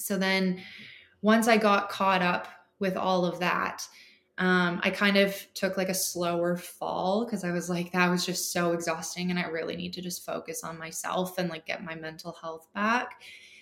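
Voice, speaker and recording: The speaker has a Canadian accent and a normal speaking voice. The pace is moderate and the intonation fairly even. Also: woman, medium pitch for a woman. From Canada, Ontario (Parry Sound). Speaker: sewist and clothing brand owner. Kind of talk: casual interview chat.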